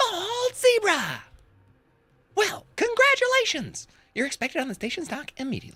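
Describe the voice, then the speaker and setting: In a put-on character voice, the speaker uses an extremely high pitch with very wide pitch swings and long, frequent pauses. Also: moderate pace. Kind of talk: announcer tone. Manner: showy, artificial, gleeful.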